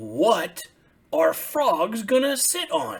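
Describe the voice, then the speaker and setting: The voice is a put-on character. It is raised and projected. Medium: read story.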